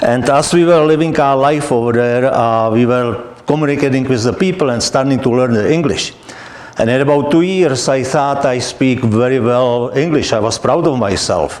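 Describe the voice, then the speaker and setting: A man with a non-native accent speaks at a medium pitch and moderate pace, with ordinary pitch variation and very even loudness, amid audible room echo and noticeable background noise. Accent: foreign accent, noticeable. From Czechoslovakia. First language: Czech or Slovak. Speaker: guest speaker, immigrant. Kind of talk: talk to an audience.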